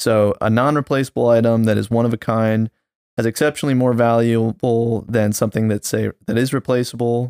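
A man with a normal speaking voice talks at medium pitch and a moderate pace, the sound dry and close with no echo. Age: 20s. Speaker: podcast co-host and photographer. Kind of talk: casual chat.

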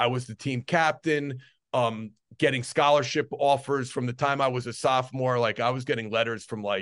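With a normal speaking voice, a man talks at a moderate pace and medium pitch, his intonation fairly even over a quiet background. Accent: American. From US Northeast, New Jersey. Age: 40s. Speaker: strength and conditioning coach. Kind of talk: podcast interview.

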